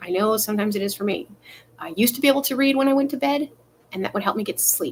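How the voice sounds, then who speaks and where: This woman's voice sits fairly high and her intonation is lively. She speaks very fast. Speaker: vlogger giving life advice. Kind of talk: casual live monologue. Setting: in bed, live stream. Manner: fast, sometimes slurred.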